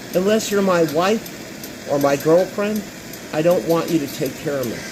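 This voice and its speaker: Over noticeable background noise, a man speaks at a moderate pace with a high pitch and ordinary pitch variation. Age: 60s. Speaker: live streamer. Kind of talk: casual chat.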